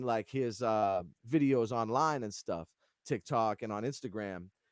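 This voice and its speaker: A man with a New England accent, dry and close with no echo, on a very clean recording with a silent background. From Massachusetts and New Hampshire (Lawrence, north of Boston). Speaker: keyboardist, music director. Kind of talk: casual interview chat.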